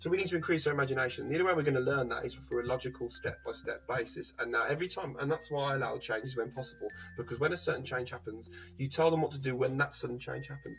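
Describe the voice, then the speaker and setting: A man with a British accent at a very fast pace, music in the background. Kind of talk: vlog monologue.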